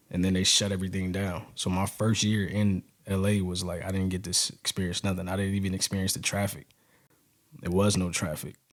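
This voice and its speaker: On a very clean recording with a silent background, a man with an American accent talks at a fairly quick pace in a very deep, low voice with monotone, flat intonation. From New York. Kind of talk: interview storytelling.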